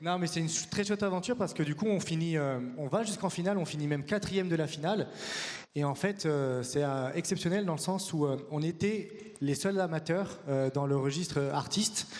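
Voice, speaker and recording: A man talks at a fairly quick pace in a high pitch with ordinary pitch variation. Audible room echo surrounds his voice. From France. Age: 30s. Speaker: acro-yoga teacher and performer. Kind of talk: conference talk.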